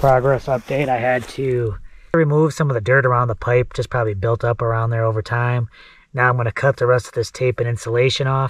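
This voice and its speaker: Over a quiet background, a man talks at a fairly quick pace with a somewhat breathy voice and fairly even intonation, the sound dry with no echo. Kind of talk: casual vlog chat. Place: open country. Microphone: phone near.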